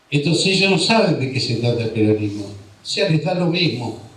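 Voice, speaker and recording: A man at a fairly high pitch and moderate pace, with audible room echo. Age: 60s. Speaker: political speaker. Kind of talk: political speech. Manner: impassioned.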